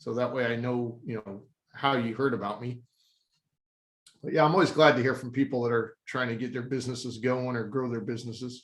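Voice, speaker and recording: An unremarkable speaking voice, this man's is medium in pitch, with an American accent, fairly even intonation and a fairly quick pace. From Texas. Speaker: company CEO. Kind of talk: casual chat.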